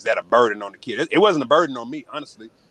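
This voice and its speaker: Someone talks very fast in a Southern US accent, with a dry, close sound and no echo. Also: man. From Arkansas. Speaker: former college athlete and author. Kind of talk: interview.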